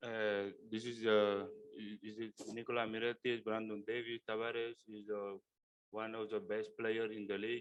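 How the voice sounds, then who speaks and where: The speech comes at a moderate pace with monotone, flat intonation, and the sound is dry and close with no echo. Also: man, medium pitch for a man. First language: Spanish or other non-English. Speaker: NBA rookie basketball player. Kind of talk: press conference Q&A. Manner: halting.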